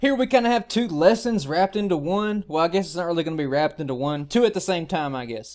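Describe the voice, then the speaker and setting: A man's high-pitched voice with a Southern US accent and lively intonation, very fast with hardly any pauses, on a very clean recording with a silent background. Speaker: gaming YouTuber. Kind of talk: gameplay guide commentary. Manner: casual.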